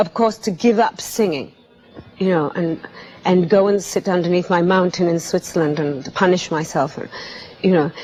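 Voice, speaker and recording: Speech at a moderate pace with music in the background. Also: woman. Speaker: singer. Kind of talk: interview answer.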